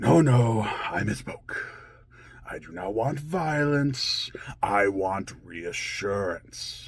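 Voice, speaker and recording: Putting on a character voice, a man delivers his lines. His pace is very slow. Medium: role play. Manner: dramatic, swinging between tender and furious.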